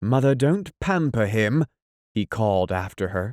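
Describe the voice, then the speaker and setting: A man's plain, everyday voice, fairly low in pitch with ordinary pitch variation, at a fairly slow pace, with a dry, close sound and no echo. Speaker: audiobook narrator. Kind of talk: audiobook reading.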